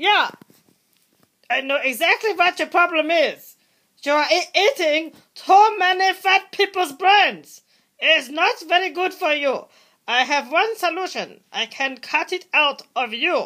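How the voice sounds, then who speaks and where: Someone puts on a character voice at an extremely high pitch, speaking at a fairly slow pace. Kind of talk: comedy skit dialogue.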